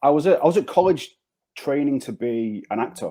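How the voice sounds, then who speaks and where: With a Manchester accent, a man talks in a fairly high pitch and a dark, mellow tone, his intonation lively. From northern England, Manchester. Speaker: insurance agency founder. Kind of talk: podcast interview. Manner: repetitive, hesitant.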